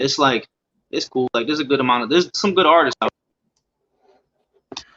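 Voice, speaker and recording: A man with an American accent and a plain, everyday voice, fairly high in pitch, with ordinary pitch variation and a fairly quick pace. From US Northeast, Scranton, Pennsylvania. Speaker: rapper. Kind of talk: casual interview.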